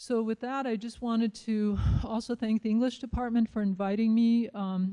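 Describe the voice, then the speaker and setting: Her voice is fairly high in pitch, and this woman keeps a fairly even intonation. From Nebraska, near Pine Ridge Reservation. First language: Lakota. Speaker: professor. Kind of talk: lecture. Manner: frequent fillers (um, uh).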